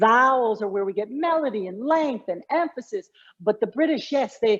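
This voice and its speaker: A woman's plain, everyday voice, fairly high-pitched, at a moderate pace with lively intonation. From Connecticut. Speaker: communication coach. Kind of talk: interview.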